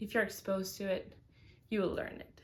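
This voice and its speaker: Her voice carries a Spanish accent. She is a woman. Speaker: vlogger. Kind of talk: casual advice talk. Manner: hesitant with many fillers.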